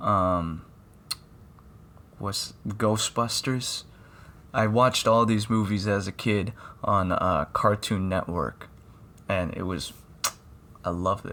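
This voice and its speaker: A bright, sharp tone at a very slow pace, with long, frequent pauses and fairly even intonation. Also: man, fairly low pitch for a man. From Philippines. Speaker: podcast host. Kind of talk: casual podcast talk. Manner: slurred, stuttering.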